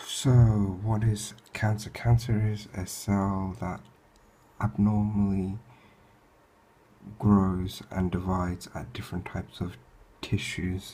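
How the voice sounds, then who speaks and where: Speaking at a very slow pace, a man with a fairly low pitch sounds somewhat breathy and keeps a flat, monotone intonation. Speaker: student. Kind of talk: revision lecture talk.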